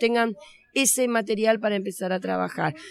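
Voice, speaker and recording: A woman with an Argentine accent speaks at a fairly quick pace in a fairly high voice, in a very clean recording with a silent background. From Argentina. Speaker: children's author and storyteller. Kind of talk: interview. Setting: on location at a festival.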